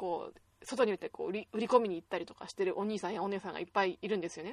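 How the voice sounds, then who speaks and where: In a dry, close sound with no echo, a woman talks at a very fast pace and medium pitch with ordinary pitch variation. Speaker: web radio host. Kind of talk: unscripted solo talk. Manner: stumbling over words.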